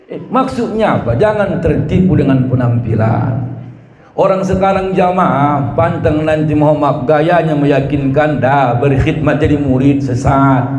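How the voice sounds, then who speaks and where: Here a man talks fairly slowly at a fairly high pitch, with an animated tone and ordinary pitch variation. Audible room echo and noticeable background noise surround him. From South Tapanuli, North Sumatra. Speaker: Islamic preacher. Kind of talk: sermon.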